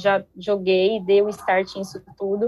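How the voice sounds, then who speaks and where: A woman talks very slowly, her voice sitting at a medium pitch. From Brazil, Ribeirão Preto (São Paulo state). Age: 20s. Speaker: street dancer and dance teacher. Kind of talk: casual chat.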